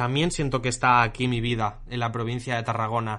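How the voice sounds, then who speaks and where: Here a man uses a normal speaking voice. His pace is fairly quick. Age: 20s. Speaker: podcast host, marketing technician. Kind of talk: casual chat.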